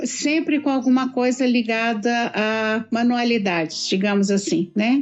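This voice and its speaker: Very slow speech from a woman with a fairly high voice and ordinary pitch variation. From Minas Gerais, Brazil. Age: 60s. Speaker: embroidery artist, retired teacher. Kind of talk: interview.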